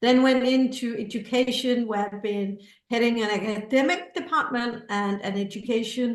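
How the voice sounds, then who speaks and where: A woman with a fairly high pitch talks at a moderate pace, her pitch varying in an ordinary way, with audible echo in the room. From Scandinavia. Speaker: creativity educator and author. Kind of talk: testimonial in info session.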